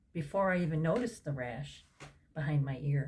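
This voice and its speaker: A somewhat breathy woman talks with ordinary pitch variation. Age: 60s. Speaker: health vlogger. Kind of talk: personal story vlog. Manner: casual, conversational with fillers.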